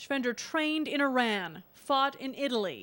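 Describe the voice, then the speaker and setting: On a very clean recording with a silent background, a plain, everyday voice speaks fairly slowly with lively intonation. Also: woman. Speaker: news reporter. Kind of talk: TV news narration.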